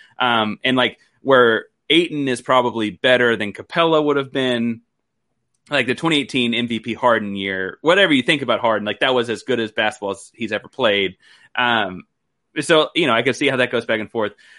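Here is a man with a plain, everyday voice at medium pitch. He moves at a fairly quick pace with ordinary pitch variation. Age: 30s. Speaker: basketball podcast host and writer. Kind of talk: casual chat.

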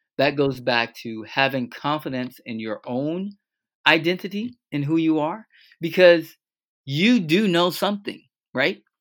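A man with an American accent and a normal speaking voice talks at a fairly slow pace, fairly high in pitch with lively intonation, on a very clean recording with a silent background. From US South, Fort Lauderdale, Florida. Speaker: math teacher and transformational coach. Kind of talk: interview.

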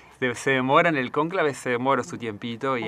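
A man talks at a fairly quick pace. His voice is medium in pitch with a bright, sharp tone. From Argentina, Misiones province. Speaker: army dentist. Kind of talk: radio interview.

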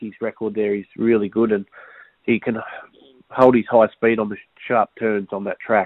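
The delivery goes at a moderate pace in an ordinary speaking voice. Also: man. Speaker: racing tipster. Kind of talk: racing preview clips.

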